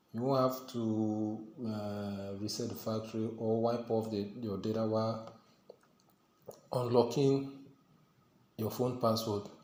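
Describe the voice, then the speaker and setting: Audible room echo surrounds a man at medium pitch, speaking at a fairly slow pace. His intonation is monotone and flat, with long, frequent pauses. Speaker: tech tutorial youtuber. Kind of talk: tutorial.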